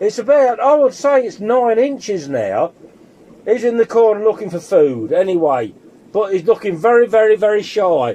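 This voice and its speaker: A lively intonation in an English accent. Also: man. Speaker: fish keeper vlogger. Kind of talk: casual video commentary. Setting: fish room. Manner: loud; halting, many fillers. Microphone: mobile phone against the glass.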